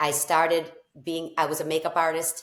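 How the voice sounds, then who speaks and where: The speaker has a strong Boston accent and keeps a moderate pace. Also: woman. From Boston area, Massachusetts. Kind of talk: interview.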